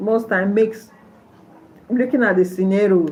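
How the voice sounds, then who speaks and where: In a room with audible echo, a woman with a Nigerian accent talks at a fairly slow pace with ordinary pitch variation. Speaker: nurse and livestreamer. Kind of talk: livestream chat with viewers.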